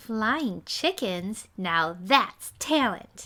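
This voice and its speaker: A woman uses a put-on character voice. Her pitch sits fairly high. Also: very clean recording, silent background. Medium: read story.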